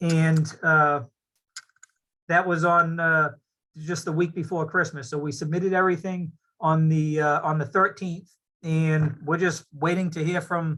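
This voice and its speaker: A man's fairly high-pitched voice, bright and sharp in tone, with monotone, flat intonation. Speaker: applicant's engineer presenting a project. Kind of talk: public meeting presentation. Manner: fast.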